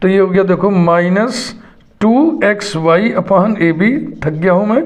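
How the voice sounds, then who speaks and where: A man's high voice moves with lively intonation at very even loudness, with audible room echo. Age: 60s. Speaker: math teacher. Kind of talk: lecture.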